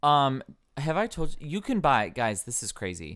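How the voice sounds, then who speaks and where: A man with an American accent and very wide pitch swings, on a very clean recording with a silent background. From US Midwest, rural Ohio. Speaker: podcast co-host. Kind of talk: casual chat.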